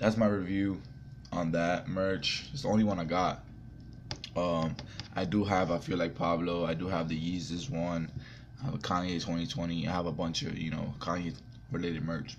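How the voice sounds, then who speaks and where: A man's very deep, low voice at a moderate pace, with long, frequent pauses, ordinary pitch variation, and noticeable background noise. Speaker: vlogger. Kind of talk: casual vlog review. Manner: casual, filler-heavy.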